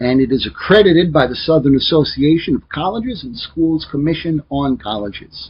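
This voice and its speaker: Somewhat breathy and lively in intonation, a man talks with an American accent. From US Midwest, Joliet, Illinois. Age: 40s. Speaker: teacher. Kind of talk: lecture.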